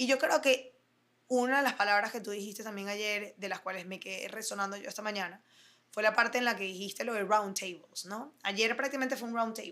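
A bright, sharp tone at a fairly quick pace, with big swings in loudness and ordinary pitch variation. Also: woman, fairly high pitch for a woman. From Venezuela, Caracas. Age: 30s. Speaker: fashion designer. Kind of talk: interview. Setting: office.

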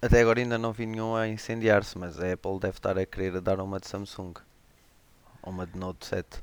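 A man with a normal speaking voice talks at a fairly low pitch. His pace is fairly quick and his intonation fairly even. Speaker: tech podcast guest. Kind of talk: casual chat.

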